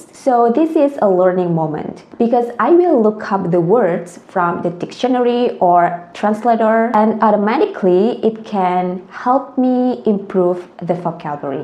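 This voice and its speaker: With noticeable background noise behind her, a woman with an Indonesian accent speaks fairly slowly in a fairly high pitch, with lively intonation and hardly any pauses. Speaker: language tutor. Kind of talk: tutorial.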